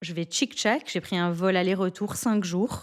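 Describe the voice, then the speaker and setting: On a very clean recording with a silent background, a woman with a fairly low pitch speaks in a plain, everyday voice. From Belgium (Antwerp, Flanders). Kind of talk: interview answer.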